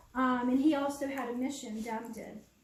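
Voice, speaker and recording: High-pitched female voice at a fairly slow pace, with audible room echo. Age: 60s. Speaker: public speaker on starseeds. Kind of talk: public presentation. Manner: halting.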